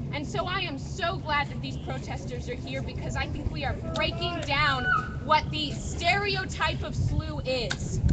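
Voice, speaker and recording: Over noticeable background noise, the woman talks at a fairly slow pace. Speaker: university student. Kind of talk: testimony. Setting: outdoors.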